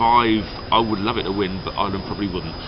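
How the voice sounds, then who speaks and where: A speaker with an English accent talks at a fairly quick pace with fairly even intonation, amid noticeable background noise and audible room echo. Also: man. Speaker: Eurovision commentator. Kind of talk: casual chat. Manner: fast.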